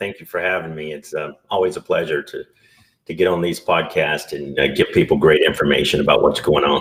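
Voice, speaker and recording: A man keeps a moderate pace as he speaks in a Southern US accent. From US South. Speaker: entrepreneur and business broker. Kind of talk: podcast interview.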